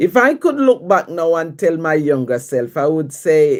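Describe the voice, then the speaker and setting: Very wide pitch swings run through a woman's speech in a Jamaican accent. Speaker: livestream host, writer. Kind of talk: casual livestream chat answering viewer questions.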